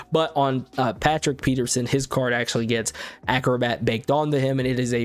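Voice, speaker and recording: At a very fast pace, a man with a medium pitch keeps his loudness very even. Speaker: gaming YouTuber. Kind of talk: video game card review commentary. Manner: casual, filler words.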